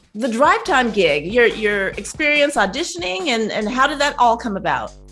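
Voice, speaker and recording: A woman's fairly high voice at a moderate pace, with very wide pitch swings and music in the background. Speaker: web series host. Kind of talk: interview question.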